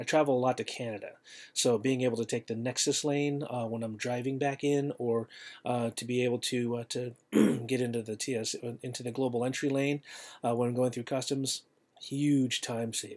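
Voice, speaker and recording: A moderate pace against a quiet background. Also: man, fairly even intonation. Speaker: travel tips vlogger. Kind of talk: tutorial. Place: home room. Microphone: webcam.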